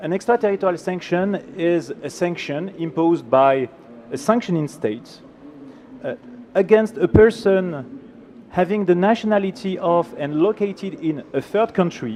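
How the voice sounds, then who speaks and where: Over noticeable background noise, a man with a French accent speaks at a moderate pace in a high pitch with lively intonation. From France. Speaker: law professor. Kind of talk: conference presentation. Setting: conference panel with audience and slides.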